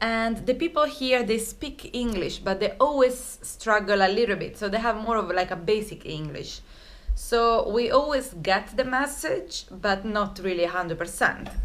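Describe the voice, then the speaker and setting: A woman at a moderate pace with lively intonation. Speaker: travel vlogger. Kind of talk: casual vlog chat. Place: home room. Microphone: phone near.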